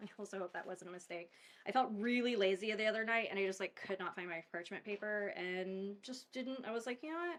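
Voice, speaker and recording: A woman speaks with a Southern California accent. Her pitch is medium and her pace fairly quick. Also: ordinary pitch variation. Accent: valley girl. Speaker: mortician hosting a home cooking video. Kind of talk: casual cooking tutorial. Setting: home kitchen. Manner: chatty, filler-heavy (um, like).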